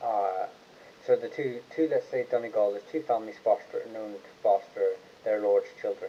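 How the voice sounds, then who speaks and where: A man mumbles. His pace is moderate. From Ireland. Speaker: online genealogy channel host. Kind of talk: live stream Q&A chat. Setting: YouTube livestream. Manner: mumbling; halting, many fillers.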